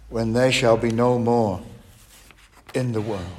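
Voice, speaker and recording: With noticeable background noise behind him, a man talks at a medium pitch in a flat, monotone way. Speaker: Bible teacher. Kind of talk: sermon-style Bible study. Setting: church. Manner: formal.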